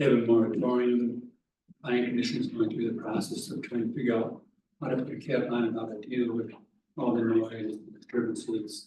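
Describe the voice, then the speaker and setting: A man talks at a fairly quick pace in a medium pitch. His intonation is monotone and flat, and audible room echo surrounds him. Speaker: public commenter at township meeting. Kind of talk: public comment. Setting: township board meeting. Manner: soft-spoken. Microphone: hard to hear, too quiet.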